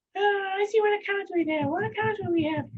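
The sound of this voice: A squeaky, put-on character voice at an extremely high pitch moves along at a fairly quick pace.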